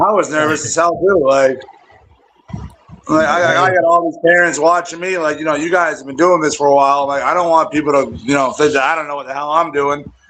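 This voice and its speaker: Against noticeable background noise, a man speaks at a very fast pace. His voice is fairly high-pitched, with fairly even intonation. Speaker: youth football coach. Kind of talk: casual chat. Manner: loud.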